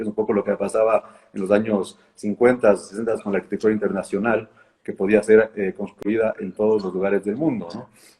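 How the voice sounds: The voice moves at a fairly quick pace with little pitch movement. Its tone is slightly mellow with a slightly husky edge. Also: man, fairly low pitch for a man.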